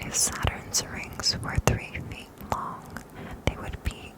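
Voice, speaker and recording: Whispering comes from a woman. She goes at a very slow pace amid noticeable background noise. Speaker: ASMR creator. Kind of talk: ASMR fact reading. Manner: whispered.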